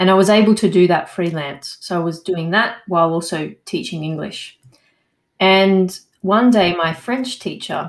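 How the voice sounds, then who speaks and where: This woman's voice is fairly low. She talks with an Australian accent. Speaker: landscape architect and English coach. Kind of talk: interview.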